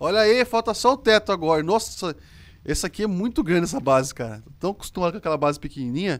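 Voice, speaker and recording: A man talks very fast in a high voice with an animated tone. His pitch swings very widely. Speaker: gaming youtuber. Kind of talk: gameplay commentary.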